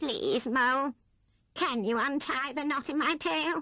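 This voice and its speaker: A female-sounding put-on character voice, high in pitch. The pace is fairly slow. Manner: sad, pleading.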